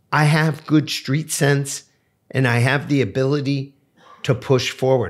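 Against a quiet background, a man with an American accent and fairly high pitch talks at a fairly slow pace, his voice somewhat breathy. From New Jersey. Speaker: entrepreneur and debt and credit expert; podcast guest. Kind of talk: interview conversation. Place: office. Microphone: studio mic.

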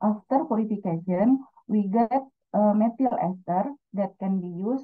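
With an Indonesian accent, a woman speaks at a moderate pace in a somewhat breathy, medium-pitched voice with ordinary pitch variation and long, frequent pauses. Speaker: student researcher. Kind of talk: conference presentation. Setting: video call.

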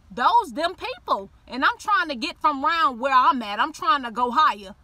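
A woman's raised, projected voice sits high in pitch, animated in tone and swinging very widely in pitch, with a dry sound and no echo. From Miami, Liberty City; Florida. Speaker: YouTuber telling personal faith story. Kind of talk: personal testimony monologue. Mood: earnest, sometimes playful. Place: car. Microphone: phone near.

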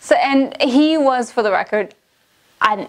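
With an animated tone and ordinary pitch variation, a woman talks at a fairly slow pace. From Canada. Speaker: language-learning vlogger. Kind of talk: casual vlog monologue. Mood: wry, amused storytelling. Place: studio.

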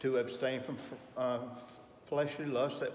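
A man talks amid light background noise, his voice carrying audible room echo. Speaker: Sunday school teacher. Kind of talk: lecture. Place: classroom. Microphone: camera far.

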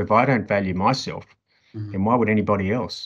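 Against a quiet background, a man with an Australian accent talks at a very fast pace in a fairly low pitch. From Sydney, Australia. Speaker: podcast guest. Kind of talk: interview. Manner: halting. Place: home room. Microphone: video call.

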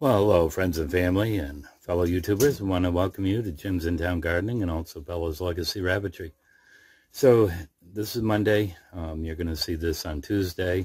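Against a quiet background, a man with a very deep, low pitch speaks fairly quickly and somewhat breathily, his pitch varying in an ordinary way. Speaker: rabbit breeder. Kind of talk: casual vlog chat. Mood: relaxed, friendly. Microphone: phone near.

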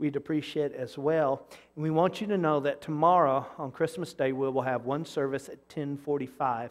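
Over a quiet background, a man keeps a moderate pace with hardly any pauses. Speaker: pastor. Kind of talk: church announcements. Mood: warm, cheerful. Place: church. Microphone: lapel.

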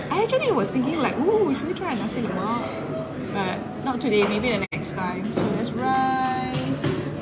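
Loud background noise sits behind a woman speaking. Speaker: food vlogger. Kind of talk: casual vlog chat, live stream. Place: cafe. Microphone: phone near.

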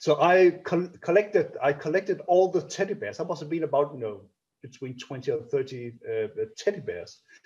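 At a fairly quick pace, a man with a Danish accent speaks in a high pitch with lively intonation. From Denmark. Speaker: orchestra conductor. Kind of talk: interview. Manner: halting, many repetitions and fillers. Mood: warm, smiling, reminiscing. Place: home room. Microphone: video call.

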